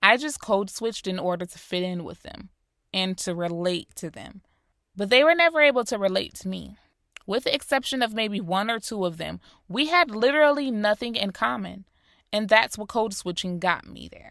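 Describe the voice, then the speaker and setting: With an American accent, a woman at medium pitch talks at a moderate pace with very wide pitch swings and big swings in loudness, in a very clean recording with a silent background. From US Northeast (Rochester, New York), later South Florida. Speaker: podcast host. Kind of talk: solo podcast monologue. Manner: clear.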